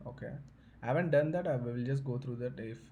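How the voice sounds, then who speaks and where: A man's somewhat breathy, dark, mellow voice at medium pitch, with ordinary pitch variation and audible room echo. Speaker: tech tutorial youtuber. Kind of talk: tutorial. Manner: fast; halting, many fillers.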